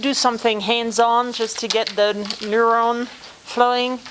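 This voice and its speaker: Speaking with a French accent, a woman uses a high pitch at a fairly slow pace. Noticeable background noise can be heard. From France. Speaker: former theme park executive turned consultant and speaker. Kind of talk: guest talk to university class.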